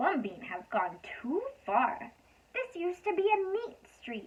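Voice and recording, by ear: Using a put-on character voice, a woman speaks slowly at a high pitch with big pitch swings.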